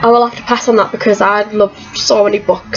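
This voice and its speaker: Over music in the background, a woman talks at a fairly quick pace with a medium pitch and fairly even intonation. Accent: Teesside. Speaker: vlogger. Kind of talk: casual Q&A vlog.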